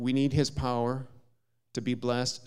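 With an Upper Midwest accent, a man talks at a moderate pace and medium pitch. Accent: Upper Midwest American. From US Midwest, southern Minnesota. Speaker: visiting preacher. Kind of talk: sermon. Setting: church.

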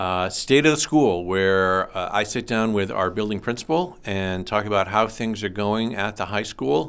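With a plain, everyday voice, a man of fairly low pitch talks at a moderate pace with ordinary pitch variation and hardly any pauses. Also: very clean recording, silent background. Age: 50s. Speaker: high school teacher and podcast host. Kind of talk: casual interview.

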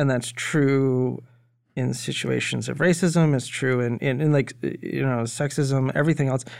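An unremarkable speaking voice from a man, medium in pitch, with fairly even intonation and a moderate pace. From Maine, US. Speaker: cannabis investor. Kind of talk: casual chat.

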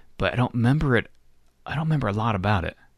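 A man with an American accent and vocal fry, ordinary pitch variation, on a very clean recording with a silent background. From Florida, US. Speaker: podcast host. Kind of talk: casual chat.

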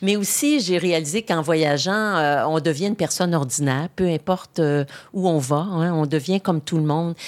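Her pitch fairly low, a woman with an unremarkable speaking voice talks at a fairly slow pace with ordinary pitch variation. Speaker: retired politician and journalist. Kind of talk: interview. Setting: studio.

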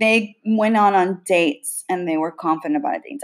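Here is a woman with a plain, everyday voice at medium pitch. She keeps a moderate pace and ordinary pitch variation. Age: 40s. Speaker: podcast host. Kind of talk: casual chat.

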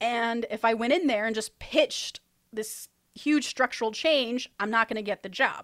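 A woman speaks with an unremarkable speaking voice, fairly high in pitch, with ordinary pitch variation. The sound is dry and close, with no echo. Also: moderate pace. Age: 30s. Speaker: screenwriter and podcast host. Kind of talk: casual chat.

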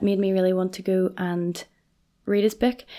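A woman speaks with a Northern Irish accent. The recording is very clean with a silent background. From Northern Ireland, Portadown. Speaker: college librarian. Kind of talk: casual interview.

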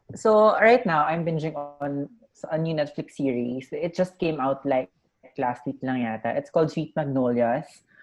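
Her pitch sits very deep and low for a woman. She talks at a moderate pace with lively intonation. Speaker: podcast co-host. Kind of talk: casual chat.

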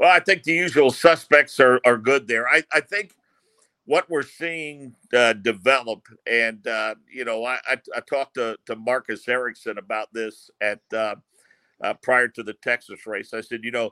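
With a bright, sharp tone and medium pitch, a man talks at a moderate pace with long, frequent pauses, big swings in loudness and ordinary pitch variation, in a dry, close sound with no echo. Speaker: racing radio broadcaster. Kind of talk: interview.

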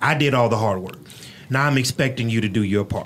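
Over noticeable background noise, a man with an American accent speaks at medium pitch with fairly even intonation. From Houston, Texas (Third Ward). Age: 40s. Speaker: pastor and podcast host. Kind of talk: casual interview chat. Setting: studio.

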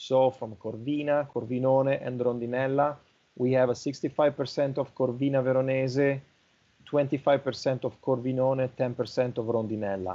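In an Italian accent, a man speaks at a fairly slow pace. His pitch is medium and his intonation monotone and flat. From northern Italy (Milan, Lombardy). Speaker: winery export director. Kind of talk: interview.

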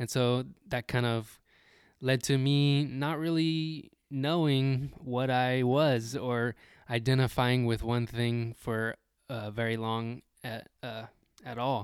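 A man with an American accent speaks at a very slow pace with fairly even intonation. The recording is very clean, with a silent background. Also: medium pitch for a man. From Texas. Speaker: podcast co-host. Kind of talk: casual chat.

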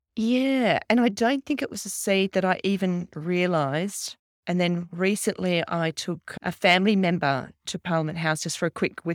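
A woman with an Australian accent and a fairly low pitch speaks at a fairly slow pace, recorded very cleanly with a silent background and a dry, close sound with no echo. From Australia, Canberra. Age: 50s. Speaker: fashion stylist and keynote speaker. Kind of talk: casual chat. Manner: animated.

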